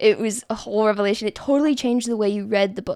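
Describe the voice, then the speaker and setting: A woman's fairly high-pitched voice, dark and mellow in tone, with fairly even intonation and a dry, close sound with no echo. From United States. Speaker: novelist. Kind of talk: casual talk about writing.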